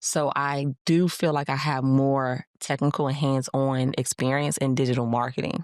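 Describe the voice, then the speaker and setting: A woman speaks in a very deep, low pitch with monotone, flat intonation. Her loudness stays very even, and there are hardly any pauses. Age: 40s. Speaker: QA career coach and founder. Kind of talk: interview. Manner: stumbles on words when talking fast; conversational, filler-heavy.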